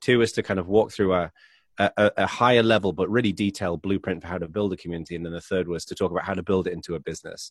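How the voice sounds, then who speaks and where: Speaking very fast with an English accent, a man with a very deep, low pitch keeps his intonation fairly even in a very clean recording with a silent background and a dry, close sound with no echo. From England. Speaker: author. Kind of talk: casual interview.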